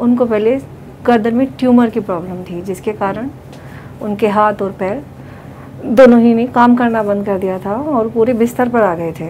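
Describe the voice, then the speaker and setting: The speaker is a woman with a fairly high pitch and ordinary pitch variation. She talks at a moderate pace over light background noise. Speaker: patient's daughter-in-law. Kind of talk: family testimonial. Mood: grateful, calm.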